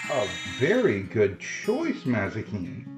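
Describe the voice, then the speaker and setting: With music in the background, a man speaks in a gentle tone. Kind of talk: casual talk to a pet snake. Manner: gentle, kind.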